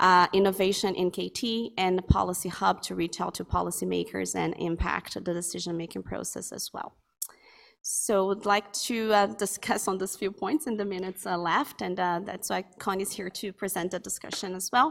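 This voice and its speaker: A woman's medium-pitched voice with vocal fry and ordinary pitch variation, on a very clean recording with a silent background. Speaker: academic researcher. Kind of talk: conference presentation. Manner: fast.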